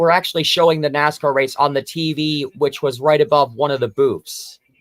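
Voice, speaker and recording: A man with an unremarkable speaking voice talks at a fairly quick pace and a fairly high pitch, recorded very cleanly with a dry, close sound, no echo and a silent background. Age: 20s. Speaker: livestream co-host. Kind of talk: casual chat.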